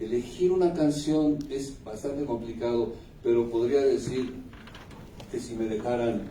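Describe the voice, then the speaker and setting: Over noticeable background noise and audible room echo, a man speaks fairly slowly at medium pitch with ordinary pitch variation. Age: 60s. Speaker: singer-songwriter. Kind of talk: interview. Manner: reflective, with hesitations.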